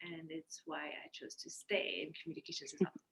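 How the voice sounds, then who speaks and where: A woman speaks in a French accent. Her voice is somewhat breathy. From France. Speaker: communications professional. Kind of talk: casual interview.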